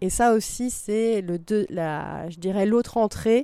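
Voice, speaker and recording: A woman speaks in a dark, mellow tone. The recording is very clean with a silent background, dry and close with no echo. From France, Vercors / Drôme. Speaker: concert hall programmer. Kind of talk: interview. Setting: at the auditorium. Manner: halting.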